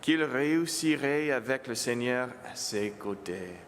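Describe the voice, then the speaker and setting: A man with a fairly high pitch talks very slowly, his intonation lively. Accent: English. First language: English (speaking French). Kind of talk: homily. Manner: halting, self-correcting.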